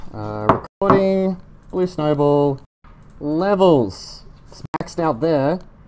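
A woman speaks at a very slow pace. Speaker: biotech company founder livestreaming lab work. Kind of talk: livestream lab demonstration. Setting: lab, livestream. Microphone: USB mic muffled by mask, cutting out.

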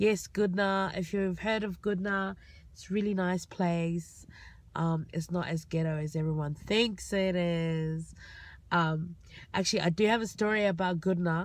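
A woman talks in an ordinary speaking voice, fairly low in pitch and fairly slow. Her intonation is fairly even, and the sound is dry with no echo. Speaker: vlogger. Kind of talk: casual vlog storytelling. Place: car. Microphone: phone near.

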